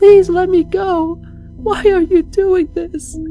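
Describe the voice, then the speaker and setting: A put-on character voice moves at a very slow pace over faint music in the background. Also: man, extremely high pitch for a man. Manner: crying, pleading, then angry.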